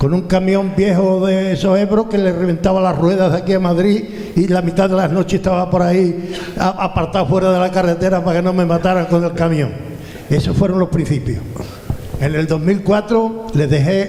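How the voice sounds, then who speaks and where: A man's high voice at a fairly quick pace, with fairly even intonation and very even loudness, amid audible room echo and noticeable background noise. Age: 70s. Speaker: retired businessman, audience member. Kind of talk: audience question and anecdote at panel event. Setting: event hall with audience, handheld mic.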